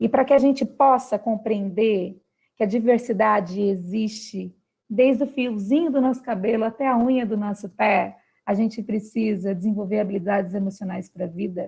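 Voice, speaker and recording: A woman speaks at a moderate pace with a fairly high pitch and a dark, mellow tone. Her voice is somewhat breathy against a quiet background. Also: ordinary pitch variation. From Brazil, São Paulo state. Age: 30s. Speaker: philosopher and socio-emotional education specialist. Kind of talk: talk to school families. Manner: animated.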